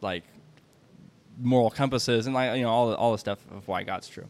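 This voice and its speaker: A man with a Midwestern American accent on a very clean recording against a silent background. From US Midwest. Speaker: podcast host. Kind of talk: casual interview.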